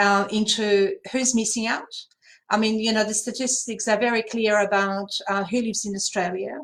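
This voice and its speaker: Her pitch sits fairly high for a woman. She speaks with a Polish accent and a monotone, flat intonation. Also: moderate pace. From Poland. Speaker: language services panelist. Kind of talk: panel discussion. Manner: hesitant, many fillers.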